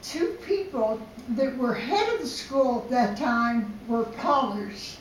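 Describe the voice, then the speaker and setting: Against noticeable background noise, a woman with a high pitch speaks at a very slow pace. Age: 80s+. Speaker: ceramic artist. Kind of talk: talk to an audience.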